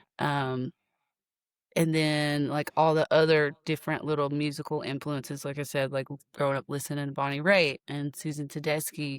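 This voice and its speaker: In a very clean recording with a silent background and a dry, close sound with no echo, a woman with an American accent speaks at a moderate pace in a very deep, low voice with monotone, flat intonation. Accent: Appalachian accent, shows at times. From Appalachia, Clintwood, Virginia. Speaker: singer and guitarist. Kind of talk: interview. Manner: halting, repeats words.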